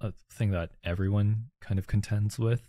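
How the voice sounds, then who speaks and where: A man with a Canadian accent and an unremarkable speaking voice, pitched fairly low, is heard with a dry, close sound with no echo in a very clean recording with a silent background. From Calgary, Canada. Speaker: co-host, street photographer. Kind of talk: casual chat.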